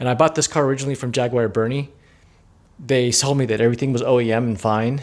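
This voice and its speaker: On a very clean recording with a silent background, a man speaks at a medium pitch with fairly even intonation. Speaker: car owner vlogger. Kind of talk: casual rant. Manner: fast; repetitive, halting.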